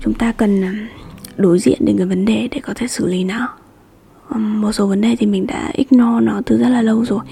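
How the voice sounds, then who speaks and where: A woman with a fairly high pitch speaks at a moderate pace in a soothing, calm tone, with ordinary pitch variation over noticeable background noise. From Hanoi, northern Vietnam. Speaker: podcast host. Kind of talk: solo podcast monologue. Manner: hesitant, many fillers.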